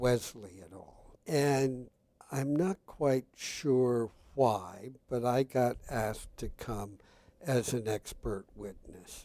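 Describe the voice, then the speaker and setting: Speaking at a very slow pace, a man with a medium pitch, ordinary pitch variation and a dark, mellow tone shows big swings in loudness. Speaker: geneticist professor. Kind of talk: interview. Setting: conference venue. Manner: deliberate.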